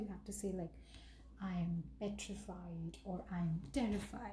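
A woman speaks with an Indian accent. Light background noise can be heard. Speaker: English teacher. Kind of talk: tutorial.

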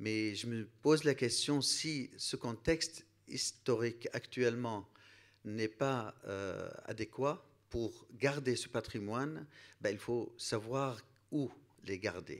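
A man at a medium pitch and a very slow pace, ordinary pitch variation, quiet background. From Iraq. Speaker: priest. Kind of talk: panel discussion. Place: hall. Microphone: handheld.

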